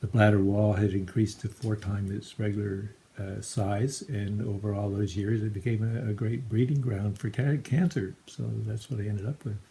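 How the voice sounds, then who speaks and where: Fairly low in pitch, a man speaks at a moderate pace in a dark, mellow, somewhat breathy voice. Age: 60s. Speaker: cancer patient. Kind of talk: appeal for crowdfunding. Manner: halting.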